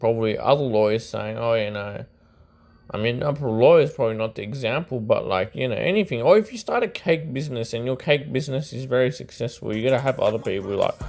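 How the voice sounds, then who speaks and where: Speaking at a very fast pace, a man with an Australian accent uses a medium pitch and ordinary pitch variation. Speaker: YouTube commentator on rap. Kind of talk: casual monologue commentary. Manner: hesitant, filler-heavy.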